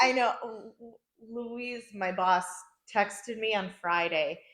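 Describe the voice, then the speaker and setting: This is a woman with an American accent, fairly high in pitch, in a plain, everyday voice. Her intonation stays fairly even. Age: 30s. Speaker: podcast host. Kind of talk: casual chat.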